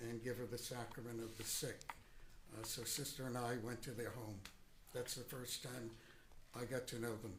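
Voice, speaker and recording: A man talks at a fairly quick pace and medium pitch. Audible room echo is present. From Boston, Massachusetts. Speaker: retired priest, witness. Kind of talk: courtroom testimony. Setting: courtroom.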